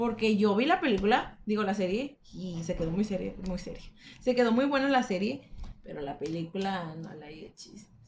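A woman's medium-pitched voice at a moderate pace, with big swings in loudness and noticeable background noise. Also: lively intonation. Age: young. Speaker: podcast co-host. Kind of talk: casual chat.

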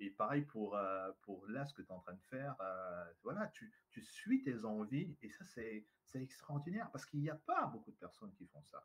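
A somewhat breathy man talks at a moderate pace and medium pitch, his voice making very wide pitch swings. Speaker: trainer and speaker. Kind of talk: interview. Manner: charismatic, animated.

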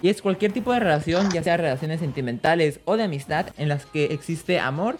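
Over noticeable background noise, a man with a Mexican accent talks very fast at a high pitch with ordinary pitch variation. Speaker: podcast co-host. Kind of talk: casual chat. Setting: live stream.

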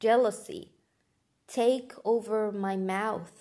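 Speaking at a very slow pace with a non-native accent, a woman keeps a fairly high pitch and fairly even intonation. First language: not English. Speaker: podcast host. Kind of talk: motivational monologue.

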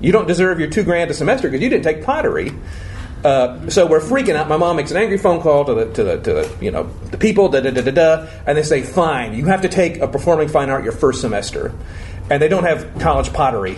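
With an American accent, a man talks very fast at a fairly high pitch with lively intonation over noticeable background noise. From Florida. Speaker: improv teacher and performer. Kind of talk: casual interview before live audience.

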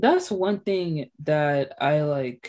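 A woman talks in a fairly low pitch. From Haitian heritage. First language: Haitian Creole and French. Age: 20s. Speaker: podcast host. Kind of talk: casual chat.

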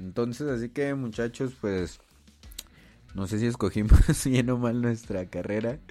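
The voice is dark and mellow, with ordinary pitch variation at a moderate pace. The recording is very clean, with a silent background. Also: man. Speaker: podcast host and visual artist. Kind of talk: casual solo podcast monologue. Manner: halting, many fillers and repetitions.

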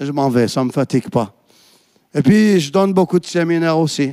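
Fairly quick and with ordinary pitch variation, a man speaks in a plain, everyday voice on a very clean recording with a silent background. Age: 50s. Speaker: pastor. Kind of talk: sermon.

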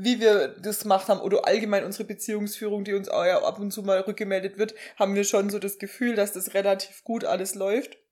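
A woman is talking. Her voice sits at a medium pitch. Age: 20s. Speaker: podcast co-host, pediatric nurse. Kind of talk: casual chat.

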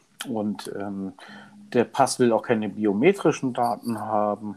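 A man speaks at a very slow pace. His tone is dark and mellow, with ordinary pitch variation. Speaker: podcast co-host. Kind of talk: casual chat. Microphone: new microphone, home-made studio.

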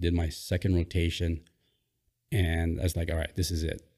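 A man with a Hawaiian accent speaks at a moderate pace in a very deep, low pitch, somewhat breathy, with a dark, mellow tone. His intonation is monotone and flat, and the recording is very clean with a silent background. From Hawaii, Oahu. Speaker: former Navy SEAL. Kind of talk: casual interview.

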